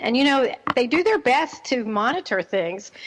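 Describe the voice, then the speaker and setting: Noticeable background noise sits behind a woman speaking at a moderate pace. She has a high pitch and a slight New Jersey accent. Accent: slight New Jersey twang. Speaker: radio host, parenting expert. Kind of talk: radio talk show monologue.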